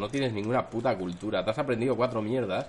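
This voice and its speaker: Speaking at a very fast pace, the man uses ordinary pitch variation. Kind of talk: casual chat. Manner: poor enunciation.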